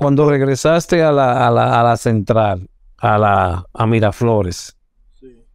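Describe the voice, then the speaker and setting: A man's medium-pitched voice at a very slow pace, with ordinary pitch variation and big swings in loudness, over a quiet background. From Dominican Republic, Villa Duarte (Santo Domingo Este). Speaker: podcast host, former rescuer. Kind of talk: interview.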